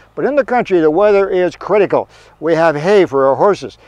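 Against a quiet background, a man talks at a very fast pace with lively intonation. The sound is dry with no echo. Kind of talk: casual vlog chat. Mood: cheerful, joking. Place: open country.

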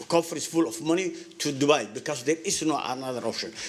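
Over noticeable background noise, a man with a strong non-native accent talks at a moderate pace in a fairly high voice with ordinary pitch variation. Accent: heavy foreign. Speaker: business owner speaking at public comment. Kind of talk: public comment at council meeting. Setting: city council meeting podium. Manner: halting, many fillers and repetitions.

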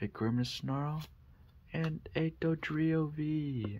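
The speaker is soft-spoken. There is light background noise. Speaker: ASMR creator. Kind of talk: ASMR card pack opening. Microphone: studio mic.

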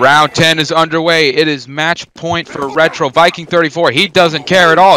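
A man with a fairly high pitch speaks at a moderate pace amid noticeable background noise. He barely pauses, and his intonation stays fairly even. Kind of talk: live commentary.

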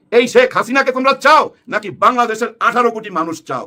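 Raised and projected, a man's bright, sharp voice sits at an extremely high pitch with ordinary pitch variation. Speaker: political commentator. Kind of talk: casual political commentary. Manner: animated.

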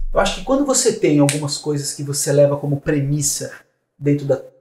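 Here a man talks at a fairly high pitch. Audible room echo surrounds his voice. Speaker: marketing director and entrepreneur; podcast guest. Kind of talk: casual interview chat. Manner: animated. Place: studio.

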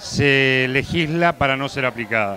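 Light background noise runs beneath a man whose pitch varies in an ordinary way. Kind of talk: interview answer. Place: meeting room. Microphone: handheld.

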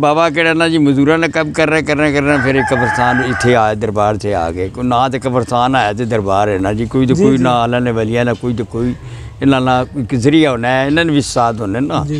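In a plain, everyday voice, a man talks at a medium pitch with lively intonation, the sound dry with no echo and light background noise. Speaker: local caretaker or acquaintance of the graveyard man, interview answer. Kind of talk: interview answer. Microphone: lapel.

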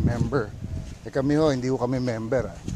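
Over loud background noise, a man's voice comes through dry, with no echo. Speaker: travel vlogger. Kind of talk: casual live-stream tour chat. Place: beach. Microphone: phone near.

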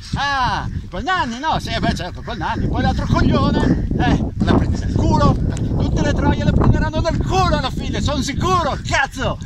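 A man at a moderate pace over loud background noise, the sound dry with no echo. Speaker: actor in a film scene. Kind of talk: angry dramatic rant. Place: open country.

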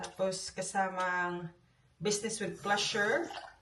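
Here a woman speaks at a very slow pace. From Philippines, Cebu. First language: Cebuano (speaking Tagalog). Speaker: vlogger. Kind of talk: casual vlog monologue. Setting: at home. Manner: halting, many fillers.

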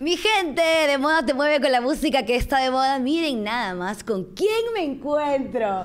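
Her voice is high-pitched and animated in tone, with very wide pitch swings. She speaks at a fairly slow pace. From Peru. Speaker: radio host. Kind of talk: casual interview. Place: hall. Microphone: handheld.

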